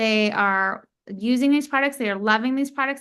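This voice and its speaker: Over a quiet background, a woman uses a normal speaking voice at a fairly high pitch and a moderate pace. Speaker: company founder presenting products. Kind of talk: business opportunity presentation. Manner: casual, filler-heavy.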